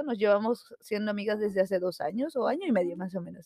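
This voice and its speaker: A woman speaks at a very fast pace in a fairly high pitch. Her pitch varies an ordinary amount. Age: 20s. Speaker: podcast co-host. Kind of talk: casual chat.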